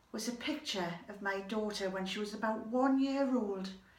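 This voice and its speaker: A woman talks with lively, varied intonation. There is audible room echo and noticeable background noise. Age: 60s. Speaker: storyteller. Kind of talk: storytelling monologue.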